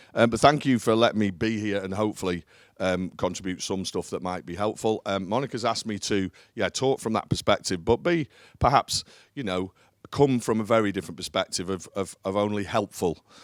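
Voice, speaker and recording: Ordinary pitch variation and a fairly quick pace come through in a very clean recording with a silent background. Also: man, fairly low pitch for a man. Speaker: business leader. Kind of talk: conference talk. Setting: stage with audience. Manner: loud; hesitant with fillers.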